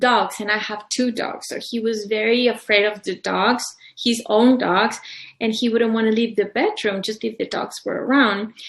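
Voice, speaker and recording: A woman with a Mexican accent speaks in a fairly high pitch at a moderate pace. Her intonation is monotone and flat. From Mexico, Colima. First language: Spanish. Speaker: publisher and author. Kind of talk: interview. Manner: halting.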